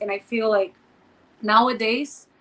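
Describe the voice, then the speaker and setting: A woman with a fairly high pitch speaks in a Portuguese accent. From Brazil. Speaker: podcast co-host, former model and entrepreneur. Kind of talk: casual chat.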